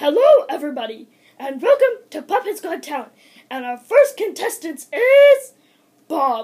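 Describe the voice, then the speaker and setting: In a cartoonish character voice pitched extremely high, the speaker moves at a moderate pace with very wide pitch swings. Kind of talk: game show host. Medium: puppet show. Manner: exasperated, impatient.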